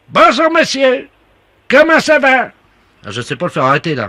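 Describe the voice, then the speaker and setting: Using a put-on character voice, a man talks at a moderate pace with an extremely high pitch. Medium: comedy sketch. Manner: flustered, helpless.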